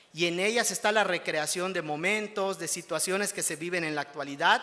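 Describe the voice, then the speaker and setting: A man with a Yucatán accent projects a raised voice in a bright, sharp tone, at a moderate pace with ordinary pitch variation. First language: Yucatec Maya (speaking Spanish). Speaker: award-winning writer. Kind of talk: acceptance speech. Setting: ceremony with audience. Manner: formal.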